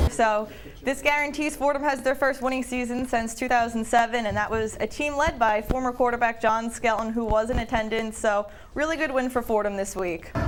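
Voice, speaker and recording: Over noticeable background noise, a woman with a high voice talks at a fairly quick pace with fairly even intonation. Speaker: sports reporter. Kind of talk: sports radio commentary.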